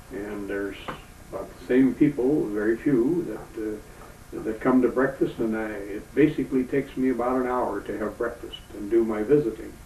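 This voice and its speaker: A man at a medium pitch, with fairly even intonation, a moderate pace and noticeable background noise. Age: 70s. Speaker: retired Navy veteran and grandfather. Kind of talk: interview. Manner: halting, many fillers and repeats.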